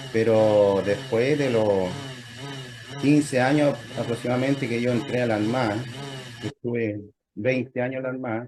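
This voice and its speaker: With long, frequent pauses, a man of medium pitch speaks at a fairly slow pace and with fairly even intonation. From Chile. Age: 60s. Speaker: lay church member, navy veteran. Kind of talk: interview testimony. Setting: video call. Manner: halting, with many fillers.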